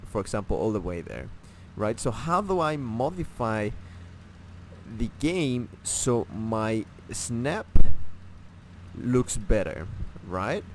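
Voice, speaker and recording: A man with a non-native accent, medium in pitch, with very wide pitch swings. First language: not English. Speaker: gaming tutorial creator. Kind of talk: tutorial. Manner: halting, many fillers and restarts; casual.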